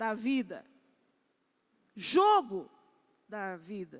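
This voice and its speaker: A woman speaks in an animated tone with very wide pitch swings. The recording is very clean, with a silent background. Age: 60s. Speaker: preacher. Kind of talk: sermon. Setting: church pulpit, live-streamed.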